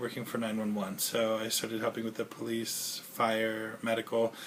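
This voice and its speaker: The speech comes at a fairly quick pace, with noticeable background noise present. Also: man. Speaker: 911 dispatcher and video blogger. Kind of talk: casual vlog monologue. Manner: fast; rambling with filler noises.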